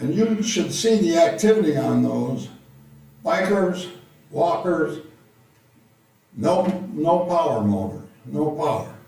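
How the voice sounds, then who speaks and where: A man talks at a very slow pace with long, frequent pauses and very wide pitch swings. Noticeable background noise and audible room echo are present. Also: fairly high pitch for a man. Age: 80s+. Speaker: retired college teacher, public commenter. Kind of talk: public comment at meeting.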